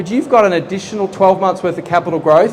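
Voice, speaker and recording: Noticeable background noise sits behind a man with an Australian accent. His pitch varies in an ordinary way. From Australia, Geelong. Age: 40s. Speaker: property project manager. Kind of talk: seminar presentation. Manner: conversational, engaging audience.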